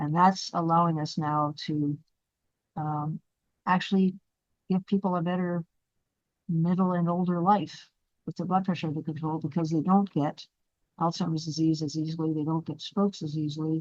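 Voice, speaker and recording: In a dry, close recording with no echo, a woman speaks in a flat monotone at a fairly low pitch, leaving long, frequent pauses. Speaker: neurologist and brain researcher. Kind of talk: lecture. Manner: fast.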